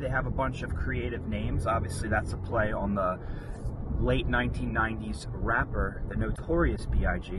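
Fairly slow speech from a man, noticeable noise in the background. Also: dry sound with no echo. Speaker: vlogger reviewing a snack. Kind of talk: casual vlog chat. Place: car. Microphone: camera far.

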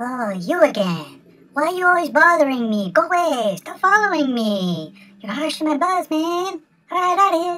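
The voice is high in pitch and moves at a moderate pace. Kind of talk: comic voice-over. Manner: irritated, laid-back slacker drawl.

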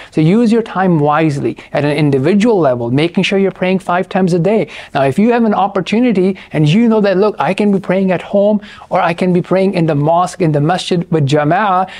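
Speaking at a fairly quick pace, a man uses a high pitch with ordinary pitch variation. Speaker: presenter. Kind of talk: lecture. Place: studio. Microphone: lapel.

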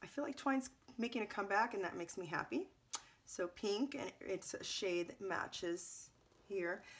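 Sounding strained, a woman speaks at a moderate pace with lively intonation. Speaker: scrapbooking video creator. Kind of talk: product unboxing. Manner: casual, halting with ums; restrained to avoid coughing. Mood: pleased, upbeat.

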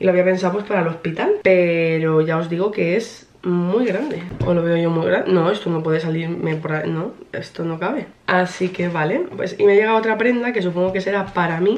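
This is a woman with an ordinary speaking voice and a fairly low pitch. She moves at a moderate pace with ordinary pitch variation and hardly any pauses. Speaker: vlogger. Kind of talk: casual vlog chat. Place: home room. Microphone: camera far.

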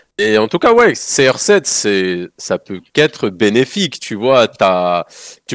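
In a dry sound with no echo and a quiet background, a man speaks at a fairly low pitch with lively intonation. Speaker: gaming commentator. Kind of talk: casual live-stream debate. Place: home room.

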